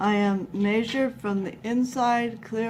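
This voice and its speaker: A woman talks softly and mumbles. Her pitch varies in an ordinary way. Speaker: craft tutorial maker. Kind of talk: tutorial. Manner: soft-spoken, mumbling; hesitant with many fillers.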